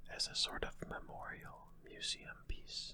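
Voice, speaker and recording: Someone whispers at a fairly slow pace. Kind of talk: ASMR sleep talk. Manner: whispered.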